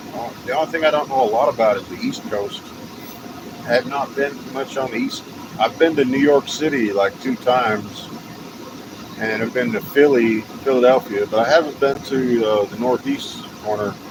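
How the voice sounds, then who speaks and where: A man's medium-pitched voice with a slight Texas accent, moderate pace, and ordinary pitch variation, over noticeable background noise. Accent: slight Texas twang. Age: 50s. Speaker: live streamer. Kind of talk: casual live stream chat. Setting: outdoors, walking. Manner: rambling, halting.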